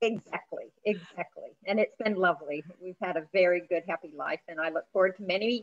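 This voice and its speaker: In an American accent, a woman talks at a fairly quick pace and medium pitch, with hardly any pauses, fairly even intonation, and a dry, close sound with no echo. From USA. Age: 40s. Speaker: certified spending planner. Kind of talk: interview.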